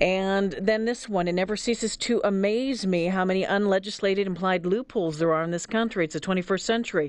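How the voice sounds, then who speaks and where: Using a plain, everyday voice, a woman talks at a fairly quick pace with medium pitch, fairly even intonation and hardly any pauses. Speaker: radio talk show host. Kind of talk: call-in talk radio. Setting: studio.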